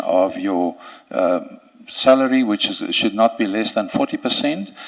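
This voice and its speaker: Noticeable noise sits behind a man who talks at a moderate rate. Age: 60s. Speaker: judicial candidate. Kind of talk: job interview.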